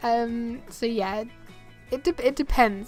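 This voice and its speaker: A woman talks at a fairly high pitch. Her intonation stays fairly even, with music in the background. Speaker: gaming YouTuber. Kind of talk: casual talk to camera.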